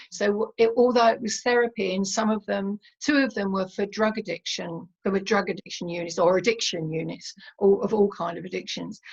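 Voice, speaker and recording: A woman's somewhat breathy voice at a medium pitch and a fairly quick pace. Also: ordinary pitch variation. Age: 70s. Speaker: meditation teacher and therapist. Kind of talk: interview. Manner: hesitant with fillers.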